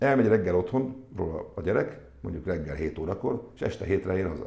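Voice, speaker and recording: A man speaks at a fairly quick pace with lively intonation and a fairly low pitch. His somewhat breathy voice has a dark, mellow tone, and audible room echo surrounds it. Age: 50s. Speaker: sports club executive. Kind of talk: interview. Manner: halting.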